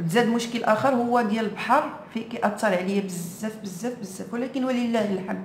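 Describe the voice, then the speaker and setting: Amid noticeable background noise and audible room echo, a woman with a Moroccan accent and a fairly high pitch speaks at a moderate pace with fairly even intonation. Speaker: vlogger. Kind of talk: casual chat.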